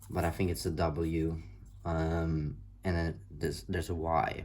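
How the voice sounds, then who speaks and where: A man's very deep, low voice with a non-native accent and audible room echo. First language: not English. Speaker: tarot reader. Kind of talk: tarot reading monologue. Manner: halting, many fillers.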